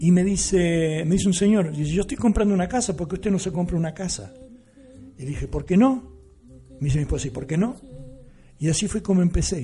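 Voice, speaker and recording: Speaking at a very fast pace with long, frequent pauses, a man uses lively intonation in a high-pitched voice. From Argentina, La Pampa. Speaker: musician. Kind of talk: radio interview. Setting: radio studio. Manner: halting.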